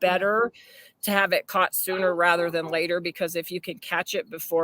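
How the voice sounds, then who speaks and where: In a dry, close sound with no echo, an ordinary speaking voice moves at a moderate pace. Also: woman. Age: 60s. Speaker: dog owner sharing her story. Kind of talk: podcast interview, personal story.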